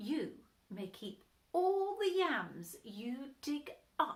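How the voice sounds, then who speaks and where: A woman's put-on character voice, high and very slow, with very wide pitch swings. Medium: read story.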